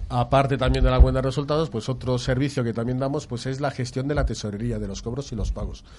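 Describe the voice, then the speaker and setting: Barely pausing at all, a man speaks very quickly. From Catalonia. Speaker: financial consultant. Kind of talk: explanatory talk.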